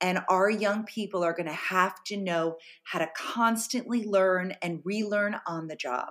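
A woman with an American accent has an unremarkable speaking voice at a medium pitch. She talks at a fairly slow pace with ordinary pitch variation. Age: 50s. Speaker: journalist and author. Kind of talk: interview.

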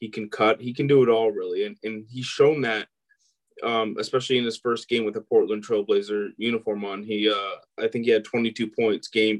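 A man's medium-pitched voice at a moderate pace, monotone and flat in intonation, with dry, close sound and no echo. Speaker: sports podcast co-host. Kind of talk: casual chat.

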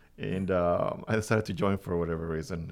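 Vocal fry marks this man's very deep, low voice, which carries lively intonation. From Venezuela. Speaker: podcast host. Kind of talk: casual interview.

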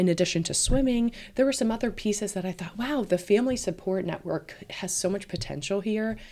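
A woman's dark, mellow voice with an American accent, ordinary pitch variation and a moderate pace. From Roanoke, Virginia. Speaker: swim school owner. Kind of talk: casual interview.

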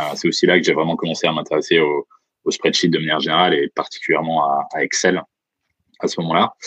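A man talks at a very fast pace broken by long, frequent pauses, in a dry, close sound with no echo. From France, Franche-Comté. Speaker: startup founder and CEO. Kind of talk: interview. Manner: hesitant.

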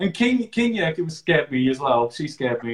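Fairly quick and lively, a man talks in an ordinary speaking voice. His pitch sits fairly high. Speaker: podcast host and digital marketer. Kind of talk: casual interview. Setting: live video stream.

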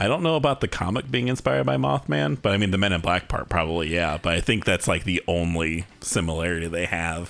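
The speech is very fast, with hardly any pauses. Its intonation is lively, and vocal fry comes through. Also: man, very deep, low pitch for a man, very even loudness. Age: 30s. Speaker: podcast host. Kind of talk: casual chat.

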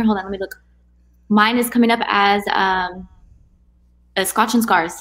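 A woman talks at a moderate pace with a fairly high pitch. Hers is an unremarkable speaking voice. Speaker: co-host poetry reader. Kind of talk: casual live chat and poetry reading. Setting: live YouTube stream. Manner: casual, excited.

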